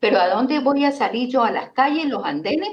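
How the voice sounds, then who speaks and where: Her pitch is high. The speaker is a woman. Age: 60s. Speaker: teacher and environmental activist. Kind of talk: interview on local politics. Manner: animated.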